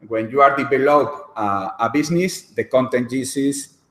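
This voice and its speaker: A man speaks in a Spanish accent at a fairly slow pace. His pitch is medium and his intonation lively. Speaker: lawyer. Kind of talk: lecture. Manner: halting.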